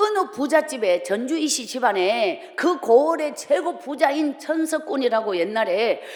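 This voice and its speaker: Against noticeable background noise, a woman speaks at a fairly slow pace with an animated tone and very wide pitch swings. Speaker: evangelist preacher. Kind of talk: revival sermon with life testimony. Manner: animated storytelling.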